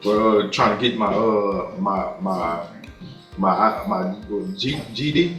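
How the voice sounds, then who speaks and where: Over music in the background, a man with a fairly low pitch talks with lively intonation. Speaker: defendant. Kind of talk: courtroom plea. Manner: hesitant, stammering, pleading.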